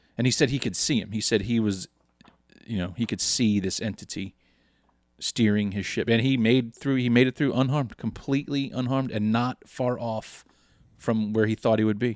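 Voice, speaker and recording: Recorded very cleanly with a silent background and a dry, close sound with no echo, a man in an ordinary speaking voice talks at medium pitch and a moderate pace with fairly even intonation. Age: 30s. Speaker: podcast co-host. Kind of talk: casual chat.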